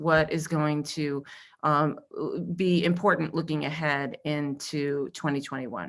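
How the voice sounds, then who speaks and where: A woman's very deep, low voice with an American accent on a very clean recording with a silent background. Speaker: industry research analyst. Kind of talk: conference presentation.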